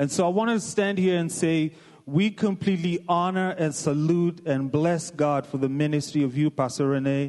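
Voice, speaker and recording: A man with an American accent, fairly high pitched, at a moderate pace with ordinary pitch variation. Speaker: visiting pastor from Kenya. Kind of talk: greeting speech in a church. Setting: church.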